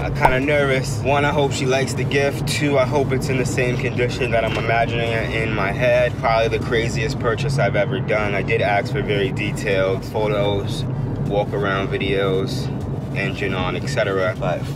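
Over loud background noise, a man talks at a moderate pace, with a dry sound and no echo. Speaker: vlogger. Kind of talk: casual vlog chat. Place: car. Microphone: phone near.

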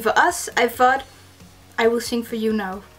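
Over faint background music, a woman with a high pitch talks at a fairly slow pace with fairly even intonation. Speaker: gaming community content creator. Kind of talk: casual birthday video greeting. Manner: warm, cheerful. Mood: cheerful, giggly. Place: home room. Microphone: webcam.

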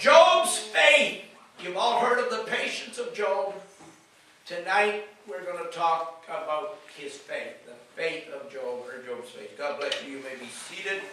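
A man's raised, projected voice at a fairly slow pace, with big swings in loudness, audible room echo and music in the background. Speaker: pastor. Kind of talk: sermon.

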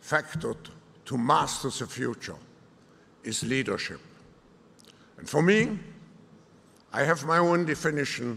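With a bright, sharp tone, a man talks at a fairly slow pace, his intonation lively, his loudness swinging widely and his speech broken by long, frequent pauses. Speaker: keynote speaker. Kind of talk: formal speech. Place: hall. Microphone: podium.

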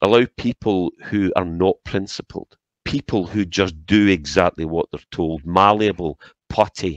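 Against a quiet background, a man talks with a Scottish accent. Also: dry sound with no echo. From Scotland. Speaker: political commentator. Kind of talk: angry political rant. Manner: indignant, impassioned; repetitive, stumbling over words. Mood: critical, indignant. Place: home room. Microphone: headset.

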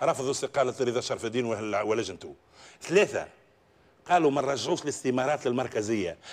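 A man speaks at a moderate pace in a Tunisian accent. He pauses long and often, with ordinary pitch variation. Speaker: independent member of parliament; talk show guest. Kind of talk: televised political debate. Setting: tv studio. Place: studio. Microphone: lapel.

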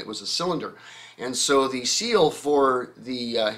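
At a moderate pace, a man talks. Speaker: show host. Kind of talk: Q&A commentary. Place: home room.

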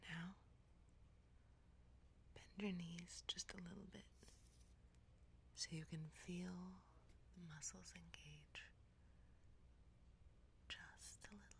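Soft-spoken and very slow, the voice comes with long, frequent pauses over light background noise. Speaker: ASMR content creator. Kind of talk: guided progressive relaxation, ASMR. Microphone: studio mic.

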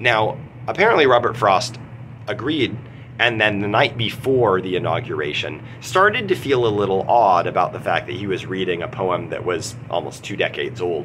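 A man speaks at a moderate pace, with light background noise behind him. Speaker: literature teacher. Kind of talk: lecture. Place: office. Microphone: phone near.

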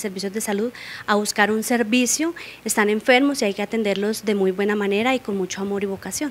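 A woman talking at a very fast pace. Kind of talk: interview answer. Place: studio. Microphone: handheld.

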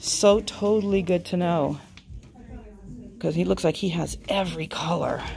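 Moderate-paced speech over faint background music. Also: woman. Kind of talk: casual vlog chat. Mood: excited, delighted browsing. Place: shop. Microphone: phone near.

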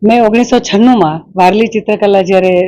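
Female speech, dark and mellow in tone, with ordinary pitch variation. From south Gujarat (Killa Pardi, Valsad). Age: 50s. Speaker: artist. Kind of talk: interview.

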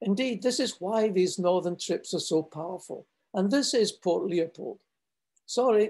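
This man's high-pitched voice has a dark, mellow tone, ordinary pitch variation and a fairly slow pace. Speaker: polar expedition leader; presenter. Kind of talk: presentation. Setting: video call. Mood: warm, lightly humorous. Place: home room. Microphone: webcam.

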